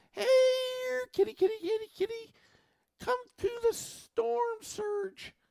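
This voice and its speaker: Squeaky and extremely high-pitched, a put-on character voice speaks at a very slow pace. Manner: mocking.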